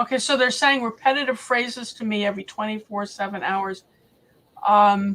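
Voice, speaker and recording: Fairly high in pitch, a woman speaks with an American accent in a bright, sharp tone. Her pace is moderate and her intonation fairly even. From Massachusetts, US. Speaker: livestream panel host. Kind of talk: casual livestream chat. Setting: live video stream with panel.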